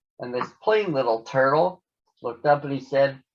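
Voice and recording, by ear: Natural-voiced reading aloud over a quiet background, lively in intonation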